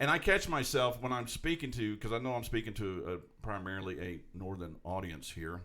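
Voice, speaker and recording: Speaking at a fairly low pitch, a man uses lively intonation. His tone is bright and sharp. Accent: Southern US. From US South.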